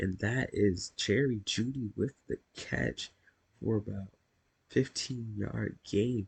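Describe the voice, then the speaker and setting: The voice is somewhat breathy, with ordinary pitch variation at a very slow pace. The sound is dry and close, with no echo. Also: man. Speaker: gaming YouTuber. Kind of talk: gameplay play-by-play commentary.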